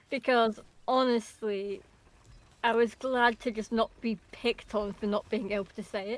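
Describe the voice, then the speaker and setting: A woman speaks quietly at a moderate pace, her pitch fairly high and her intonation fairly even. The sound is dry and close, with no echo. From England. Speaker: video game streamer. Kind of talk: casual chat.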